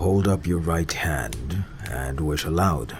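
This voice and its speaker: Speaking fairly slowly in a put-on character voice, a man pitches very deep and low with lively intonation over clear background noise. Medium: read story. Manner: solemn, grave.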